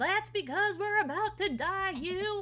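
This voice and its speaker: In a put-on character voice, the speaker projects a raised, squeaky sound at an extremely high pitch and a fairly slow pace. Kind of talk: comic overacting. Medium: game stream.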